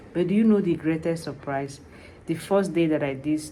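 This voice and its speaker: A woman with a non-native accent, a dark, mellow tone, and ordinary pitch variation, in audible room echo. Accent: foreign. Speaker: vlogger, tax preparer. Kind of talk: personal vlog, motivational talk. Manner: animated.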